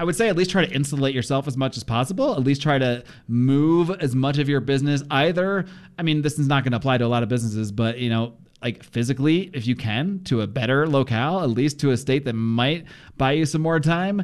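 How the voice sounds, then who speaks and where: This man talks very fast in a fairly high pitch, keeping his loudness very even and his pitch variation ordinary. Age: 40s. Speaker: podcast host and producer. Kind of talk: casual interview chat.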